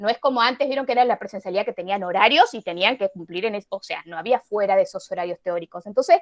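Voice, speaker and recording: A woman with a fairly high pitch talks at a very fast pace with hardly any pauses and lively intonation. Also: big swings in loudness, dry, close sound with no echo. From Misiones, Argentina. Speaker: university biology teacher. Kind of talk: online class.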